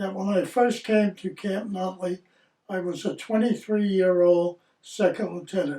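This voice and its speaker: A man's high-pitched voice with a dark, mellow tone, at a fairly slow pace. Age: 80s+. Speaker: army veteran. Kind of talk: scripted narration. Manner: formal.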